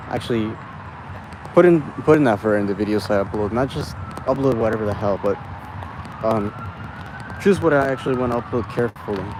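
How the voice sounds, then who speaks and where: Over noticeable background noise, a man at medium pitch with ordinary pitch variation talks at a very fast pace broken by long, frequent pauses. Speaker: vlogger. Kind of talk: casual monologue vlog. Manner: halting, many fillers.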